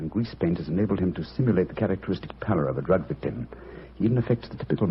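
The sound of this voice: Simply an unforced reading voice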